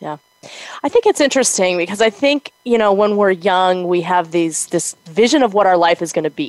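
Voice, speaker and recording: A woman with a plain, everyday voice speaks at a medium pitch and a moderate pace. Her intonation is lively, and the sound is dry and close with no echo. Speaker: podcast co-host. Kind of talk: casual chat.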